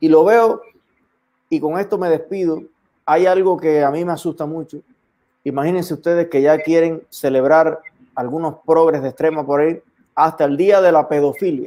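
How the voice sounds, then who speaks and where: A man's fairly high, dark, mellow voice at a moderate pace, with fairly even intonation and long, frequent pauses. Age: young. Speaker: online show host. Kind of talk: interview. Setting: livestream.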